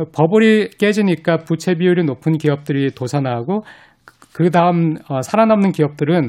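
Using ordinary pitch variation, a man speaks at a high pitch. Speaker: professor. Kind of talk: radio interview.

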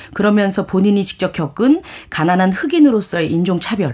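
Against noticeable background noise, a woman speaks with very wide swings in pitch. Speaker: book reviewer. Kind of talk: radio talk show, reading aloud. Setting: studio.

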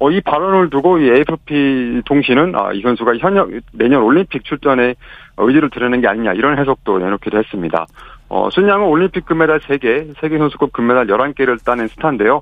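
Speaking at a fairly quick pace, a man with an ordinary speaking voice has a fairly high pitch and lively intonation. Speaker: news agency reporter. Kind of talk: radio news report.

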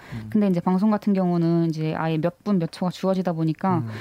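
Recorded dry and close with no echo, a woman speaks in a dark, mellow tone at a fairly low pitch, her intonation lively. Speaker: student investigative journalist. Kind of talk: interview. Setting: studio.

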